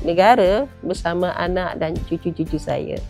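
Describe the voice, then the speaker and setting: A woman talking at a very slow pace, music in the background. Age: 60s. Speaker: product distributor. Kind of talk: testimonial.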